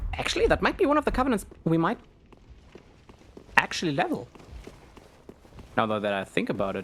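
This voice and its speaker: Despite long, frequent pauses, a man talks at a fairly quick pace. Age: adult, voice sounds younger. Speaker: gaming streamer. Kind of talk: gameplay commentary. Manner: hesitant, many fillers.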